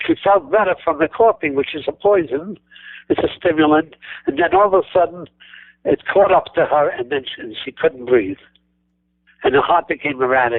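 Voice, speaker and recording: With a New York accent, a man speaks in a high pitch at a moderate pace, leaving long, frequent pauses. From New York City. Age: 90s. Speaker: natural health doctor. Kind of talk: interview. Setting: radio show. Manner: halting, repeats words.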